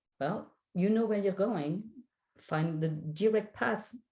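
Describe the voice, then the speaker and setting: A woman with a French accent speaks in a somewhat breathy voice with a dark, mellow tone. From France. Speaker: spiritual guide and life coach. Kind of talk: interview.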